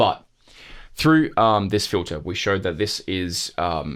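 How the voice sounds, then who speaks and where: On a very clean recording with a silent background, a man with a normal speaking voice talks at a fairly slow pace with fairly low pitch. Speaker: music production tutor. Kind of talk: tutorial. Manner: casual, with many fillers.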